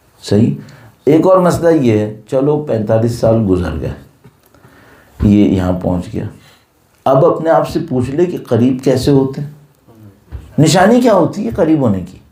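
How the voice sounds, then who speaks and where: With audible room echo, a man at a medium pitch makes very wide pitch swings and leaves long, frequent pauses. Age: 50s. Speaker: Islamic cleric. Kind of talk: religious lecture.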